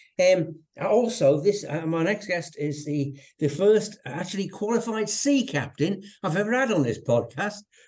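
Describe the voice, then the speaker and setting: This man has a dark, mellow tone and talks at a moderate pace. His pitch swings very widely. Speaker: podcast host. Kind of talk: casual interview. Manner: halting, repeats words.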